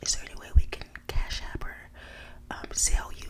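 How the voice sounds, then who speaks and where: In an American accent, a woman whispers at a moderate pace over noticeable background noise. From Dallas, Texas. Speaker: ASMR creator. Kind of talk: casual storytime to camera. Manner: whispered.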